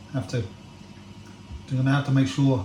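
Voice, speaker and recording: A man at medium pitch amid noticeable background noise. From England. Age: old. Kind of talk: casual talk to camera. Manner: rambling, hesitant.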